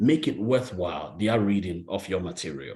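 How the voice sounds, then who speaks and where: The voice carries vocal fry and an African accent. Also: man. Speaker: real estate agent and solar salesperson. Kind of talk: motivational talk on a group video call. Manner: emphatic, repetitive.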